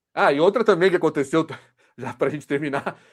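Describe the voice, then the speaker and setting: The voice has lively intonation and a São Paulo accent on a very clean recording with a silent background. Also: man. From São Paulo, Brazil. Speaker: football podcast host. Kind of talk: casual discussion.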